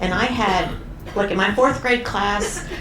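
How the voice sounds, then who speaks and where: A woman with an American accent and ordinary pitch variation, plus audible room echo and noticeable background noise. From Washington DC area. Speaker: talk show guest, cruise ship resident. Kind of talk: talk show interview. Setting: stage with live audience.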